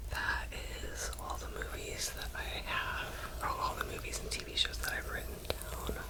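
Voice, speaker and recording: A woman whispers softly. Noticeable background noise sits behind her. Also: moderate pace. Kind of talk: casual whispered ramble to camera (ASMR). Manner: whispered, soft.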